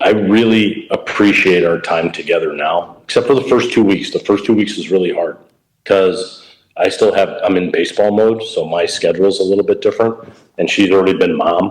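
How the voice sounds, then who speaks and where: A man with a Chicago accent speaks at a fairly quick pace. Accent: Chicago American English. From Chicago, US Midwest. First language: Italian. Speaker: baseball coach. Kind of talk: casual interview.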